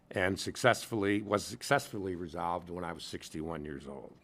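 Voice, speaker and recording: Speaking at a fairly quick pace with a Midwestern US accent and a bright, sharp tone, a man is heard in a very clean recording with a silent background. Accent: US Midwest. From Michigan, Lansing area. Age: 70s. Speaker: retired lawyer, abuse survivor testifying. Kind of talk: legislative testimony. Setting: committee hearing room. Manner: formal.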